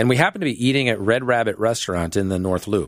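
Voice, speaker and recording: A man speaks in a normal speaking voice at a fairly quick pace, his pitch fairly low with ordinary variation. The recording is very clean, with a silent background. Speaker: Marine veteran, foundation founder. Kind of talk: radio interview.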